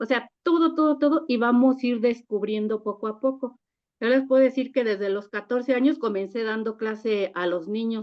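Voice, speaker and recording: An ordinary speaking voice talks at a moderate pace with ordinary pitch variation. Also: woman, fairly high pitch for a woman. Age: 60s. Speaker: church member. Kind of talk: testimony.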